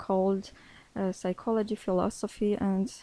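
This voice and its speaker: In an Armenian accent, the voice has a dark, mellow tone, monotone, flat intonation and a fairly slow pace. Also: woman. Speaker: English learner, social worker by training. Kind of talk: interview in second language. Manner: halting, many hesitations.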